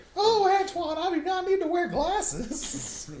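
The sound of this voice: The voice is a put-on character, extremely high and squeaky. Its delivery comes at a moderate pace.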